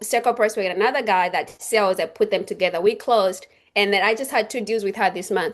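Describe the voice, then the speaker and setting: Speaking at a very fast pace, a woman uses a fairly high pitch with ordinary pitch variation. She has a non-native accent, and the background is quiet. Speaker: real estate agent. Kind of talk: interview. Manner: halting.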